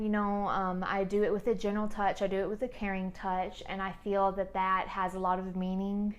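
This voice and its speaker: The voice has an American accent, and there is audible room echo. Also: woman. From US South. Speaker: esthetician and podcast host. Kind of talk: casual monologue podcast. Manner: monotone; calm, soothing.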